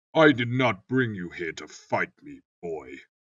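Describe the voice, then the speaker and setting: A man puts on a character voice at a medium pitch, speaking at a fairly slow pace. His pitch swings very widely and his loudness rises and falls sharply. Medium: read story. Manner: measured, cold.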